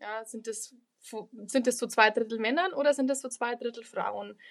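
Sounding dry and close with no echo, a woman has an unremarkable speaking voice at a fairly high pitch. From Lower Bavaria, Germany. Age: 20s. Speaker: local politician and student. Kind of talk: podcast interview.

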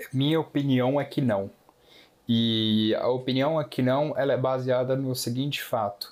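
A man's medium-pitched voice moves along very slowly. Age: 20s. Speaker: economics student. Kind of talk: casual podcast discussion.

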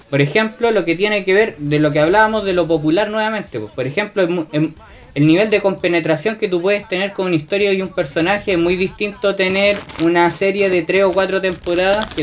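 A man talks very fast in a high-pitched voice. His pitch varies in an ordinary way. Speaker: columnist and author on anime. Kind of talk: casual chat.

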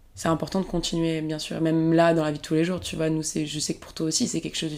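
This woman's very deep, low voice holds a flat monotone, recorded very cleanly against a silent background. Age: 20s. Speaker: actress and screenwriter. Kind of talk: casual chat.

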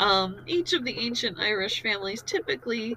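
A woman with an American accent and a fairly high pitch, over noticeable background noise. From US. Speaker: storytelling podcast host. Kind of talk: casual storytelling.

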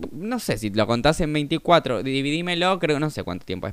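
Animated in tone, a man with a fairly high pitch speaks at a moderate pace using lively intonation. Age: 20s. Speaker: podcaster. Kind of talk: casual monologue.

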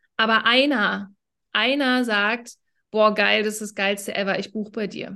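The tone is bright and sharp, with fairly even intonation. Delivery is fairly slow against a quiet background. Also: woman, fairly high pitch for a woman. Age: 30s. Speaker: business coach. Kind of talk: casual chat.

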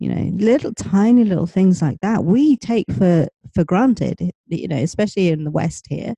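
With a southern English accent, a woman speaks in a dark, mellow, somewhat breathy tone, using lively intonation and hardly any pauses, in a dry, close sound with no echo. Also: medium pitch for a woman, moderate pace. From UK. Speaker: life coach and author. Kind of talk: interview.

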